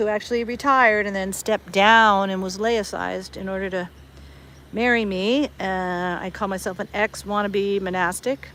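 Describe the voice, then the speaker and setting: In an American accent, a woman speaks at a medium pitch with fairly even intonation and a bright, sharp tone. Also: moderate pace. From US West Coast, Berkeley, California. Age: 60s. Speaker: online streamer. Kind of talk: casual chat. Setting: outdoors.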